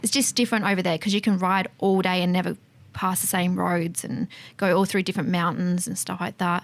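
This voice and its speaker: A woman with an Australian accent, medium pitch, fairly quick pace and fairly even intonation. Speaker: fuel tanker driver and motorcycle enthusiast. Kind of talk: casual chat.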